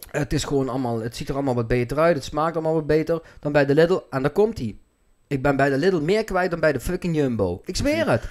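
In a quiet background, a man talks at a very fast pace with lively intonation. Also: fairly high pitch for a man. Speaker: podcast host. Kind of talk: casual podcast talk. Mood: animated, joking. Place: home room. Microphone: studio mic.

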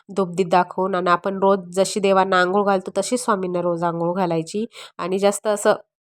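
This woman talks in a medium pitch with monotone, flat intonation. Her recording is dry and close, without echo. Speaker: vlogger homemaker. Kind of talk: home vlog narration.

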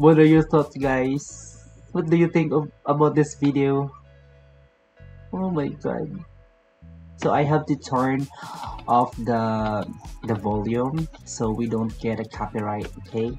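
With a non-native accent, a man speaks very slowly with long, frequent pauses and ordinary pitch variation over faint music in the background. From Philippines. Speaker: vlogger. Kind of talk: casual reaction video talk to camera. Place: home room. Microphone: webcam.

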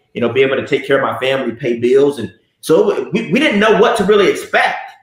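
Audible room echo surrounds a man with an American accent who speaks at a fairly quick pace with ordinary pitch variation. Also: quiet background. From US South, Miami (Liberty City); Florida. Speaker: network marketing entrepreneur; interview guest. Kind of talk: casual interview. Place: office.

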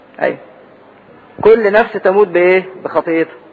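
A man's high-pitched voice has fairly even intonation over noticeable background noise. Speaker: priest teaching Bible study. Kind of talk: Bible lesson sermon.

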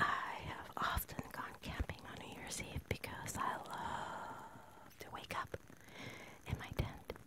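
Soft-spoken whispering at a very slow pace comes over loud background noise. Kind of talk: casual reflective chat. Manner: soft intimate ASMR whisper. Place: home room. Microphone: phone near.

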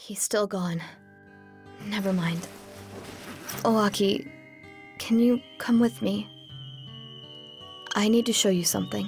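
Putting on a character voice, a woman speaks slowly with long, frequent pauses, a slightly mellow tone, a husky, rough edge, vocal fry, and fairly even intonation over faint music in the background. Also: medium pitch for a woman.

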